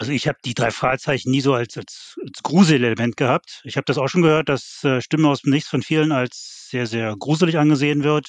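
With a plain, everyday voice, a man talks at a fairly quick pace and a fairly high pitch, with hardly any pauses and a dry, close sound with no echo. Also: ordinary pitch variation. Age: 50s. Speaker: fan website founder. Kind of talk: casual chat.

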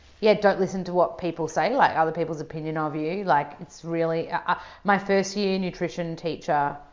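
A woman with an Australian accent speaks at a fairly quick pace, with hardly any pauses. Her pitch is fairly low. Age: 30s. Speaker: nutritionist, author and yoga teacher. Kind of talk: casual chat. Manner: animated.

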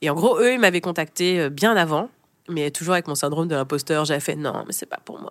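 A woman with an ordinary speaking voice talks at a fairly quick pace in a fairly low pitch, with ordinary pitch variation and big swings in loudness. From France. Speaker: brand consultant and jazz singer. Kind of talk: interview, casual chat.

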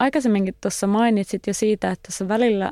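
Dry and close with no echo, a woman's voice carries a dark, mellow tone and fairly even intonation. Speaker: podcast host and journalist. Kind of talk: casual interview.

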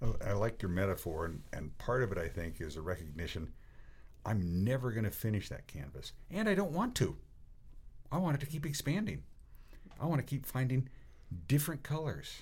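Using very wide pitch swings and vocal fry, a man talks at a fairly quick pace broken by long, frequent pauses. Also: medium pitch for a man. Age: 60s. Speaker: cycling coach. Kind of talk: casual chat.

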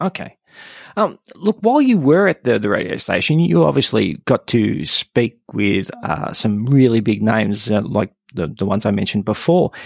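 A man with an Australian accent speaks at a moderate pace with a fairly low pitch, vocal fry and very wide pitch swings. The sound is dry and close, with no echo. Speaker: podcast host. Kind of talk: scripted intro narration; interview conversation.

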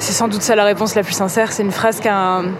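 The speaker's intonation stays fairly even while noticeable background noise runs underneath. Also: woman. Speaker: novelist and musician. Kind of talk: interview conversation. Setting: brasserie at night. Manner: halting, many hesitations and repetitions; voice rises higher when lying.

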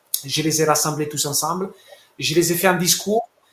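A man speaks with an Italian accent and a high pitch. His pitch varies in an ordinary way. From Italy. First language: Italian (speaking French). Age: 40s. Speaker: sports sponsorship manager. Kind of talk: interview. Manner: halting.

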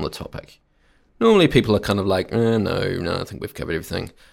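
A man talks very fast with a New Zealand accent. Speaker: podcast host. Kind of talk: scripted narration.

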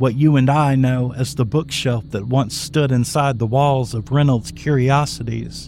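The intonation is fairly even. It is a natural reading voice.

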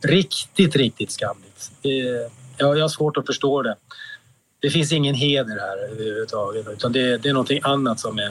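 The man's pitch is fairly high, with ordinary pitch variation. He keeps a moderate pace. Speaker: exonerated former prisoner. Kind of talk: interview. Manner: halting.

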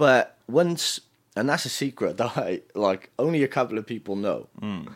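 A man in a Cardiff accent with very wide pitch swings, on a very clean recording with a silent background. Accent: Welsh (Cardiff). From Wales. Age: 30s. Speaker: DJ. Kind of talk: casual chat.

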